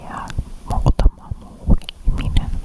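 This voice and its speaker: The voice is a whisper. Background noise is clearly audible behind it. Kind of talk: ASMR whispered chat. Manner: whispered.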